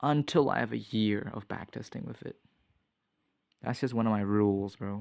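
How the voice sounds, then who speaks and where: In a very clean recording with a silent background, a man talks at a fairly quick pace in a plain, everyday voice with ordinary pitch variation. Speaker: trading vlogger. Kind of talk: casual screen-recorded trading commentary. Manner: casual, thinking aloud.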